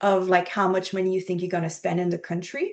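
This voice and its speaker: A woman speaks with a French accent. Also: quiet background. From Quebec, Montreal. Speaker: archaeology professor. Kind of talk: interview.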